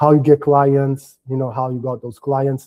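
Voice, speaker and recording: A man speaks with a Portuguese accent. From Portugal. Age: 30s. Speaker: business development coach. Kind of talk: live workshop interview.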